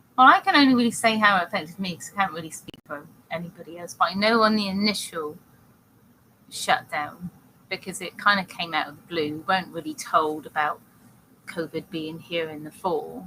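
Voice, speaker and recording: Someone with a British accent speaks at a fairly quick pace, with ordinary pitch variation and big swings in loudness. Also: woman, fairly low pitch for a woman. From Britain. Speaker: talk show co-host. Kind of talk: casual chat. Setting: live online talk show.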